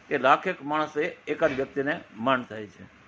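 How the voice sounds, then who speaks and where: A man's fairly high voice with fairly even intonation, over noticeable background noise. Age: 60s. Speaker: naturopath and journalist. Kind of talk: testimony.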